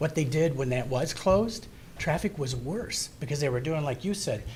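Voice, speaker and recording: With audible room echo, a somewhat breathy man speaks at a fairly high pitch and a moderate pace. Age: 60s. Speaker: resident speaking at public comment. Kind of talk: public comment at township meeting. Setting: township hall meeting.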